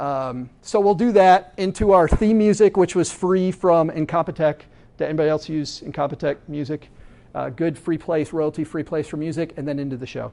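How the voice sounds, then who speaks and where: Dark and mellow in tone, a man's voice moves with ordinary pitch variation. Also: fairly high pitch for a man, moderate pace. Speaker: podcast host giving a talk. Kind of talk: presentation to an audience. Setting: meetup room with audience. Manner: halting, many fillers and repeats.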